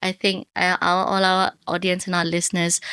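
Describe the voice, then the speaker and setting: On a very clean recording with a silent background and a dry, close sound with no echo, a woman speaks at a moderate pace and medium pitch in an ordinary speaking voice. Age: 30s. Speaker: podcast host. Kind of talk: interview.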